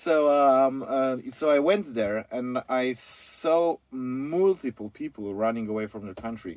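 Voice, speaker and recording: A man with a Polish accent speaks at a fairly slow pace, his loudness swinging widely. His intonation is lively, and the sound is dry and close with no echo. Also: medium pitch for a man, hardly any pauses. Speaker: van conversion company founder. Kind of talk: interview. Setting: company office.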